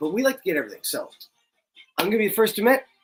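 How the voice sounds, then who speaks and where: With music playing in the background, the speaker talks at a very fast pace in a Canadian accent. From Canada. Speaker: MMA show host. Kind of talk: casual fight preview talk.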